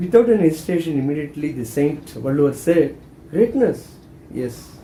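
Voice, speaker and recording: A man talks at a fairly quick pace with a Tamil accent and a fairly high pitch. His intonation is lively, and the room echo is audible. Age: 70s. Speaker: spiritual teacher. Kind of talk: spiritual talk.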